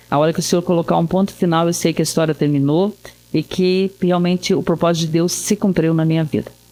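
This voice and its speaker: Woman at a very fast pace, fairly low in pitch, with very even loudness, fairly even intonation and noticeable background noise. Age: 60s. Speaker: pastor. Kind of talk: casual chat. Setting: studio.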